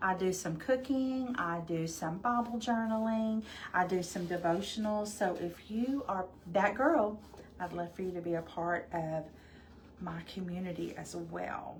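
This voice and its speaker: With a slight Arkansas accent, a woman talks at a fairly slow pace in a medium pitch with ordinary pitch variation. Audible room echo surrounds her voice. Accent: slight Arkansas Southern. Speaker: crafting livestream host. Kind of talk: live crafting tutorial. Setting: livestream. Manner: casual, chatty.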